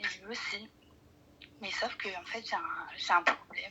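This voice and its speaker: A woman is speaking. She is soft-spoken. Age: 20s. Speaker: caller. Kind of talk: phone call-in, personal problem. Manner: hesitant, many fillers.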